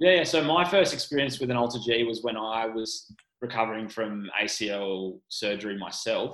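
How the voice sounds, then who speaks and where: A man with an Australian accent speaks at a moderate pace in a medium pitch, with ordinary pitch variation. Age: 20s. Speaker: strength coach and physiotherapy student. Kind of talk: casual interview chat.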